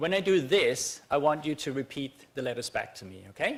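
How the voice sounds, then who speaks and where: A man with a non-native accent talks at a fairly quick pace in a fairly high voice with very wide pitch swings. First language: not English. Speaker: conference speaker, researcher. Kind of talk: academic talk. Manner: hesitant, many fillers.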